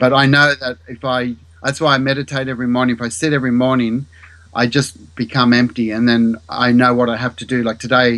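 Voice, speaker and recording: At a fairly quick pace, a man speaks in a medium-pitched voice with monotone, flat intonation. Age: 50s. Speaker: mathematics teacher and researcher. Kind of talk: interview.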